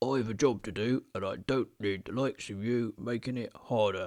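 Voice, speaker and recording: A man's booming, put-on character voice at medium pitch and a moderate pace. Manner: indignant, bellowing.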